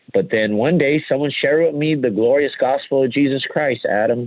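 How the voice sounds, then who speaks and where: A man speaks with an American accent. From US West (Los Angeles). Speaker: pastor. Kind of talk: interview testimony.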